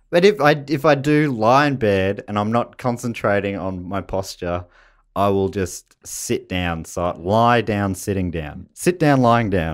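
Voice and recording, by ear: On a very clean recording with a silent background, a man with an Australian accent speaks fairly slowly at a fairly low pitch, his intonation lively.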